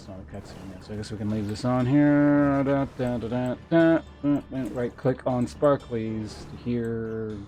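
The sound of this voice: The recording presents an unforced reading voice.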